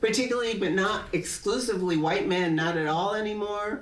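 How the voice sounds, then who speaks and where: A woman with an American accent and lively intonation, amid audible room echo. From New Haven, Connecticut, US. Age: 70s. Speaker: professor. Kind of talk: public talk, onstage conversation.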